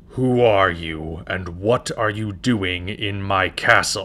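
A man does a put-on character voice. He talks very slowly at a fairly low pitch. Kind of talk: character audition. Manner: angry, then despairing.

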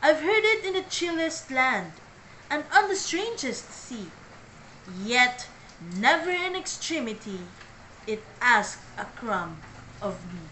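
Over light background noise, the speaker goes at a very slow pace with long, frequent pauses and very wide pitch swings. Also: woman, high pitch for a woman. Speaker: vlogger. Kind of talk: poem reading. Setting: vlog. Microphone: phone near.

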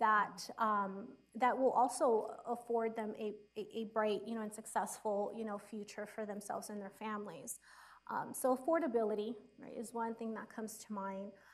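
A woman speaks at a moderate pace. Her intonation is fairly even. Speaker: social worker and university instructor; university instructor. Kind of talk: panel discussion. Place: stage.

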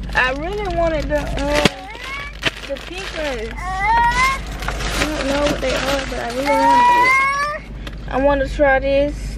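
A woman talks at a very slow pace, the sound dry with no echo and music playing in the background. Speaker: vlogger. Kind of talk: casual vlog chat. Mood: relaxed, a bit annoyed. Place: car. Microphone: phone near.

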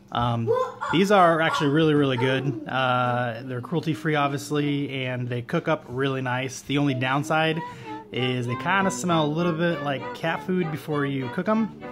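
A man speaks at a moderate pace with ordinary pitch variation. Noticeable background noise runs underneath. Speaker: family cook vlogger. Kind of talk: casual vlog chat. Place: kitchen. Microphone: phone near.

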